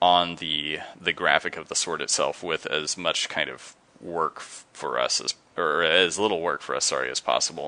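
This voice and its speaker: A man mumbles at a very deep, low pitch. He keeps a moderate pace and fairly even intonation. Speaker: game artist. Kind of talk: live stream commentary while painting. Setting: live stream from home studio. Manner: mumbling; halting, many fillers.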